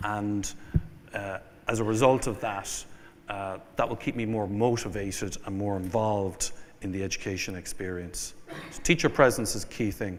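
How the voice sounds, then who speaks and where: A man with an Irish accent, fairly low in pitch, at a moderate pace with fairly even intonation and audible room echo. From Ireland. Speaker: venture capital investor. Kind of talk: keynote speech. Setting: conference stage with audience.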